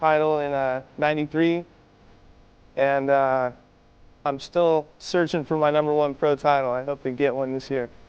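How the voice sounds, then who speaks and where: In a Californian accent, a man with a fairly high voice speaks at a moderate pace in a monotone, flat delivery. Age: 20s. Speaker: pro BMX racer. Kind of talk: self-introduction. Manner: halting, many fillers.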